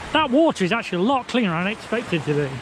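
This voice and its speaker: A man talking at a fairly quick pace with very wide pitch swings, over noticeable background noise. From England. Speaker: travel vlogger. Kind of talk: travel vlog. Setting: outdoors on beach. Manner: casual, conversational.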